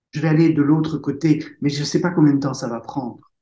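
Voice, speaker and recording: A man's somewhat breathy voice has a dark, mellow tone and a fairly high pitch. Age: 60s. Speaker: author and speaker. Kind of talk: interview testimony. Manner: halting.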